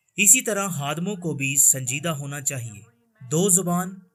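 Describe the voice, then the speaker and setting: A man's bright, sharp-toned voice with ordinary pitch variation. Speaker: Urdu-language voice-over reader of a translated sermon. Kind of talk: religious sermon reading (Urdu translation).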